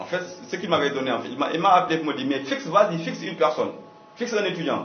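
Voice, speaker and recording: Amid noticeable background noise and audible room echo, a man with an African accent speaks at a very fast pace in a high pitch with lively intonation. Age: young. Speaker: communication consultant. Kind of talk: radio interview. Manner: halting, with repetitions.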